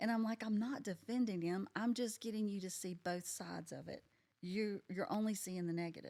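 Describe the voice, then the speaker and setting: At a fairly quick pace, a woman speaks at medium pitch in an ordinary speaking voice with ordinary pitch variation. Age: 60s. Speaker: podcast guest sharing life story. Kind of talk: casual interview chat.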